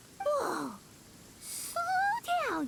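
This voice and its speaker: The voice is squeaky and put on like a character. Light background noise runs underneath. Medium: video game. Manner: blunt, exclamatory.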